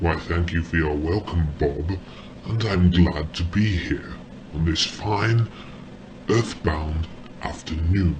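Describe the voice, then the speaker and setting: A man speaks in a put-on character voice, very deep and low, at a fairly slow pace with long, frequent pauses. Background noise is clearly audible. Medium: audio drama. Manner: polite, mock-formal.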